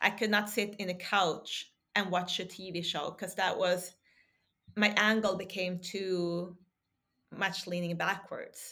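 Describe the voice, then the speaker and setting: Speaking fairly slowly with a Swedish accent, a woman keeps her medium pitch flat and monotone. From Sweden. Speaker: podcaster and health advocate. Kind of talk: casual interview chat. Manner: halting at times, searching for words.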